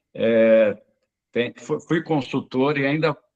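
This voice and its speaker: Words come out very slowly, the pitch varying in an ordinary way. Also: man. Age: 60s. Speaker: occupational therapist. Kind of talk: webinar talk. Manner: halting, many fillers.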